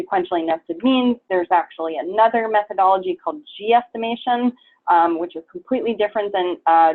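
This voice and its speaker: Lively intonation runs through speech delivered very fast. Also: woman. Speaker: biostatistics professor. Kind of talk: lecture. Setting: workshop with audience. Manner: hesitant, many fillers.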